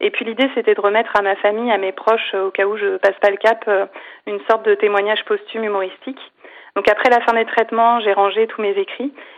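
Her pitch fairly high, a woman talks at a fairly quick pace. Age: 40s. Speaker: cancer survivor and comedian. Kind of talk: interview. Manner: halting.

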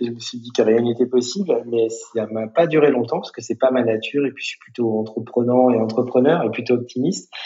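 Speaking with a normal speaking voice, a man talks at a fairly quick pace and medium pitch with ordinary pitch variation, big swings in loudness and hardly any pauses. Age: 40s. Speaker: social entrepreneur, founder of a digital training school network. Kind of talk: podcast interview.

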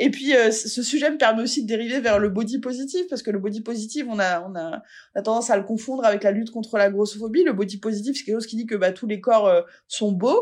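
The background is quiet. A woman talks very fast in a fairly high voice. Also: ordinary pitch variation, hardly any pauses. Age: 40s. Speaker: fat-acceptance activist. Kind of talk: interview.

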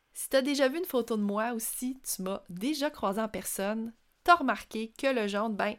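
A woman with a Quebec accent speaks at a moderate pace, her fairly high voice moving with lively intonation on a very clean recording with a silent background. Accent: Québécois French. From rural Quebec, Centre-du-Québec. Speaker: podcast host, personal branding entrepreneur. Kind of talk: solo podcast monologue.

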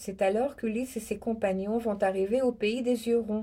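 A woman with a dark, mellow tone talks at a fairly slow pace, her pitch varying in an ordinary way. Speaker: radio host reading poetry. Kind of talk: dramatic narration of epic poetry, reading aloud. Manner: solemn, expressive, theatrical delivery.

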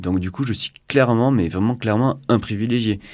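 A man's dark, mellow tone carries ordinary pitch variation in a very clean recording with a silent background. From southwest France (Pyrénées-Atlantiques). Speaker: engineer and climate activist. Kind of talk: casual radio interview. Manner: halting, many fillers and repetitions.

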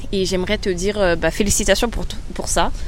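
A woman talks. Her voice is heard with audible room echo. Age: 20s. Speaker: podcast host. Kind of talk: personal monologue. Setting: outdoors by a river. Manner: hesitant, many fillers.

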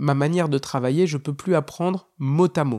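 An ordinary speaking voice from a man, fairly high in pitch, moves at a fairly quick pace with ordinary pitch variation, recorded very cleanly with a silent background and a dry, close sound with no echo. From northern France. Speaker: stand-up comedian. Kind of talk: casual monologue.

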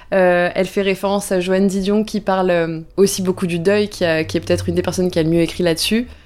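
Her voice is at medium pitch, monotone and flat, with very even loudness. The woman moves at a fairly quick pace. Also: hardly any pauses, very clean recording, silent background. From southwestern France, Bordeaux. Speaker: content creator. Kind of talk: casual interview. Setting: at home.

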